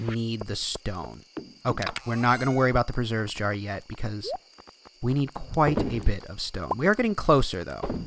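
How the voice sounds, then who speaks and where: A man's medium pitch shows ordinary pitch variation, with noticeable background noise around him. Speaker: gaming video creator. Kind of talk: gameplay commentary. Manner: halting, many fillers and repeats.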